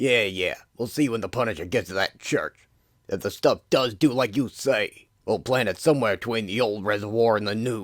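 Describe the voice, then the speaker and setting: In a put-on character voice that is raspy, a man speaks at a moderate pace and medium pitch with ordinary pitch variation, on a very clean recording with a silent background. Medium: audio drama. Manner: swaggering, tough-guy.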